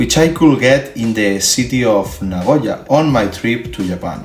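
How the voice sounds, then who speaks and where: With noticeable background noise and audible room echo, a man with a Spanish accent speaks at a medium pitch and a fairly slow pace. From Spain. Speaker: collector and YouTuber. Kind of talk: video tour. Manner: halting, with filler sounds.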